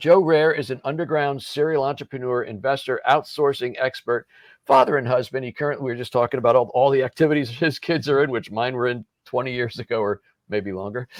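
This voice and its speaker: A man speaks at a very fast pace in an animated tone, his medium pitch moving with ordinary variation. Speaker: podcast host and business coach. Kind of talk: podcast interview intro. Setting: in a motorhome.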